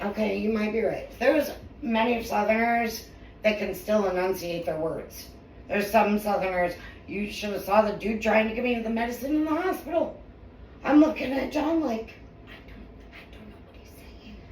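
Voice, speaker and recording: Speaking in an American accent, a woman with a fairly high voice talks at a moderate pace in an animated tone with lively intonation and big swings in loudness. Noticeable background noise and audible room echo surround her. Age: 40s. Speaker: podcast co-host. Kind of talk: casual chat.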